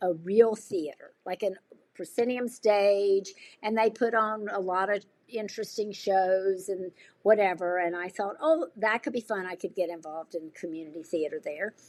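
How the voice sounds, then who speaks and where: A plain, everyday voice: a woman with an American accent at medium pitch, moderate pace and ordinary pitch variation, in a very clean recording with a silent background. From US South. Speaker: nonprofit administrator and amateur actor. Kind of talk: podcast interview. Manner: casual, with many fillers.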